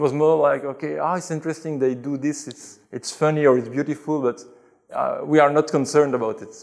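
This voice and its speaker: Speaking at a fairly quick pace in a Belgian French accent, a man with a fairly high pitch keeps his intonation fairly even while his loudness swings widely. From Belgium (Brussels). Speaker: convert to Islam telling his story. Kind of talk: interview testimony. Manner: hesitant, with fillers and repetitions.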